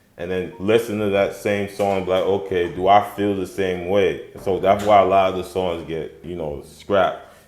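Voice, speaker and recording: A man's fairly low, monotone, flat voice at a moderate pace with hardly any pauses, in audible room echo. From Liberia. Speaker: rapper. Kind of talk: interview. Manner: casual.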